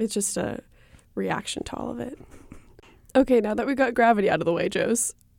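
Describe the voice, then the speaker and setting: A woman's fairly high voice with vocal fry, at a fairly quick pace. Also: long, frequent pauses, big swings in loudness. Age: 20s. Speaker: podcast co-host. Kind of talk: casual chat.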